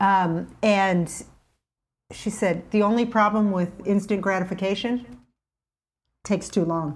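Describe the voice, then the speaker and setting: Somewhat breathy, a woman speaks at a medium pitch with ordinary pitch variation, keeping a fairly slow pace with long, frequent pauses. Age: 50s. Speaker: plant-based chef and health coach. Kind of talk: casual interview chat.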